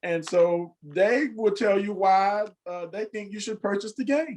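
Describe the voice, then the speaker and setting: Speaking fairly slowly, a man with a high voice uses lively intonation. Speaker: game creator. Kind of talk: infomercial host intro.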